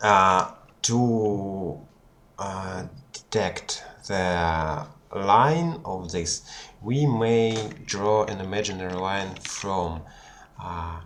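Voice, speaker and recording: With a non-native accent, a man speaks very slowly at a fairly low pitch, leaving long, frequent pauses. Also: ordinary pitch variation. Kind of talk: anatomy tutorial homework. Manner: hesitant, unprepared.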